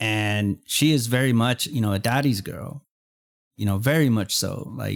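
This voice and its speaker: In an unremarkable speaking voice with an American accent, a man talks at a moderate pace and medium pitch with ordinary pitch variation, the sound dry and close with no echo. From Texas. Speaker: podcast host. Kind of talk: casual interview.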